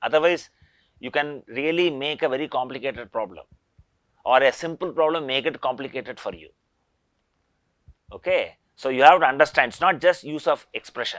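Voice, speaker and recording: A man with a fairly high pitch and ordinary pitch variation talks at a fairly quick pace, broken by long, frequent pauses. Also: big swings in loudness. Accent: Indian. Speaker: engineering professor. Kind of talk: lecture.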